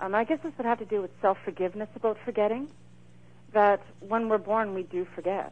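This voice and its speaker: Speaking at a fairly quick pace, a woman uses a plain, everyday voice at medium pitch with ordinary pitch variation. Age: 40s. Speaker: medium and author. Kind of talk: interview.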